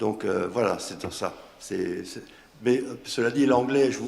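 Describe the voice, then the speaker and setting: Over noticeable background noise and audible room echo, a man with an Alsatian accent speaks at a moderate pace. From Alsace, France. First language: Alsatian (speaking French). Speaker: association organizer, panelist. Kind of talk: round table discussion. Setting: conference round table. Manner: hesitant, repetitive.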